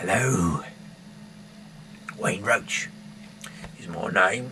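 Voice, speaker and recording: Against clear background noise, a man uses a raspy, put-on character voice, fairly low in pitch with ordinary pitch variation. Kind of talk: deadpan comic persona. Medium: solo performance. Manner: rambling, hesitant, full of fillers.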